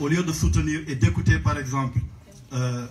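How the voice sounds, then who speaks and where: A man with a fairly high pitch talks at a moderate pace, with audible room echo. Music plays in the background. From Senegal. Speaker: audience member asking a question. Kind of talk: question at a public Q&A. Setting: book launch event with audience.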